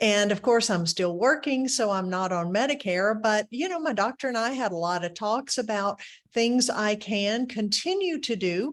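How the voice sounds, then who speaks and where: A woman's unremarkable speaking voice at a moderate pace, with lively intonation. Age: 60s. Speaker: webinar host. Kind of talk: webinar presentation. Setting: webinar.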